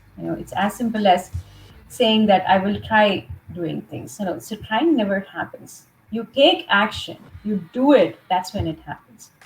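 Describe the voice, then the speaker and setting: With an American accent, a woman of medium pitch speaks at a fairly slow pace with lively intonation and big swings in loudness over music in the background. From India, Mumbai. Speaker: leadership trainer and coach. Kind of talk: interview.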